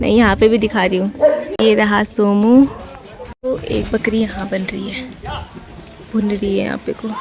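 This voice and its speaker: A woman speaks at a medium pitch with a flat, monotone delivery. Noticeable background noise runs under her voice. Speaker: vlogger. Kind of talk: casual vlog narration.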